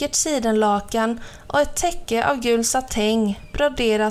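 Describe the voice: Ordinary pitch variation in plain reading aloud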